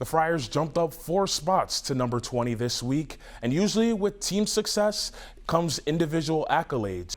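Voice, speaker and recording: Using lively intonation, a man with a normal speaking voice and fairly high pitch talks at a moderate pace. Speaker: sports reporter. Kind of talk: sports news montage.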